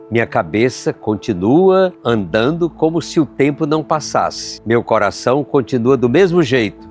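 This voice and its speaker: Over music in the background, the speech comes at a fairly slow pace with a warm tone and very wide pitch swings. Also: man. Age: 80s. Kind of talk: reflective podcast monologue with spoken prayer. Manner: warm, heartfelt, reflective.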